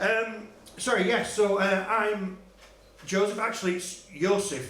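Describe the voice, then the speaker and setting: Through noticeable background noise and audible room echo, a man speaks in a high pitch. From Czech Republic. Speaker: comedian. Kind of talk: stand-up. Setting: stage with audience. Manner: halting.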